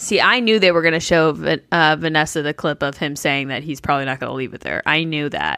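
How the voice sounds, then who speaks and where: A woman talks at a very fast pace with hardly any pauses, her very deep, low voice carrying vocal fry. Her tone is bright and sharp, with ordinary pitch variation. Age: 20s. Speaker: podcast co-host. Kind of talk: casual chat. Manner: animated.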